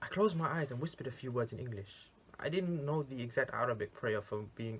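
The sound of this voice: An unforced reading voice moves with lively intonation.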